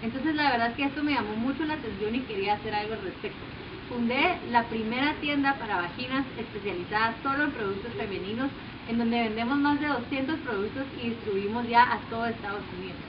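Noticeable background noise sits behind a woman talking at a fairly quick pace. Her pitch is fairly high for a woman, with ordinary variation. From Guatemala. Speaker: social entrepreneur. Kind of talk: application video pitch. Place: garden. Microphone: camera far.

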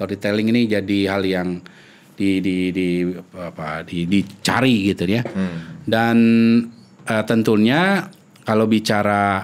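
Speaking at a very slow pace, the man has a fairly low pitch and fairly even intonation. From Indonesia, Sundanese region (West Java); West Java, Indonesia. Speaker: epidemiologist; guest. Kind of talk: interview. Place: studio. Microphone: studio mic.

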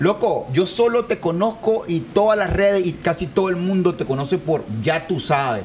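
Over noticeable background noise, a high-pitched man talks at a moderate pace with lively intonation. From Nicaragua. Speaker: podcast host. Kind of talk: interview. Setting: studio with live audience.

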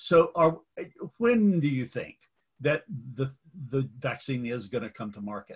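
Speaking with an American accent, a man talks fairly slowly and somewhat breathily, his intonation lively, his loudness swinging widely, and his pauses long and frequent. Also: medium pitch for a man. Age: 70s. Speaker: clergyman and forum host. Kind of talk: interview conversation.

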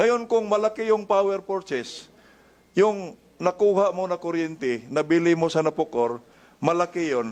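A man with a high pitch against a quiet background. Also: lively intonation, moderate pace. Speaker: congressional committee member. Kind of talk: legislative hearing questioning.

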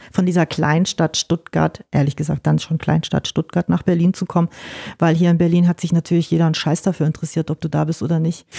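A woman's fairly low, dark and mellow voice with vocal fry, flat monotone intonation, very fast pace, very even loudness and a dry, close sound with no echo. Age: 40s. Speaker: music promoter and PR manager. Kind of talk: casual interview.

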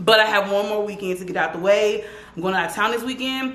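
Audible room echo hangs around the voice of a woman as she talks. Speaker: lifestyle vlogger. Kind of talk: casual vlog chat. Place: kitchen. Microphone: camera far.

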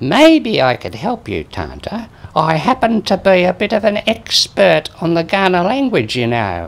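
This is a cartoonish character voice at a middle pitch. It moves at a moderate pace. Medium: puppet show. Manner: boastful, grumpy.

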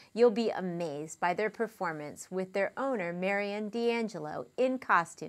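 Talking at a fairly slow pace, a woman uses an upbeat tone and lively intonation. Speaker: community TV news host and interviewer. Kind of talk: news reading and interview. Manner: upbeat and chatty. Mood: cheerful, upbeat. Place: studio.

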